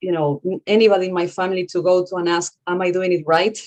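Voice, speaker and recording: A woman speaks with a Spanish accent. Her voice sits at a medium pitch. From Argentina. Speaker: author and consultant. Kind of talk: panel discussion.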